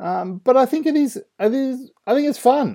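This man, speaking at a moderate pace with an Australian accent, has a dark, mellow tone on a very clean recording with a silent background. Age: 30s. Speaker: podcast host, youth ministry. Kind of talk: casual solo commentary.

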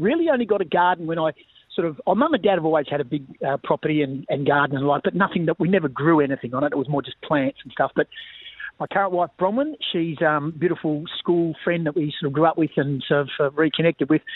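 Speaking at a very fast pace, a man with an Australian accent uses a fairly high pitch and ordinary pitch variation. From Western Australia, Bunbury. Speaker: sports commentator and former football coach. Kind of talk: casual interview.

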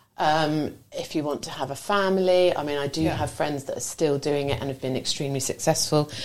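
Fairly quick and with hardly any pauses, a woman speaks at a very deep, low pitch with fairly even intonation over noticeable background noise. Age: 40s. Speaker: florist and small business owner. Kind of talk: casual radio interview.

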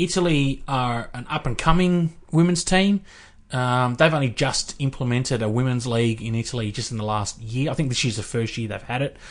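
Here a man speaks at a medium pitch with an Australian accent. His pace is fairly quick against a quiet background. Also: ordinary pitch variation. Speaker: sports podcast co-host. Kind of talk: casual chat.

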